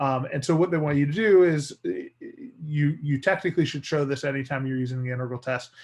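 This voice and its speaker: Slightly breathy, the man rushes through his words at a very fast pace. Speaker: math teacher. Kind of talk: lecture.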